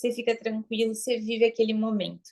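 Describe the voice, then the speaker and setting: Here a woman talks at a very fast pace with a fairly high pitch. The sound is dry and close, with no echo. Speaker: branding and marketing mentor. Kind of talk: online class lecture. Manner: animated.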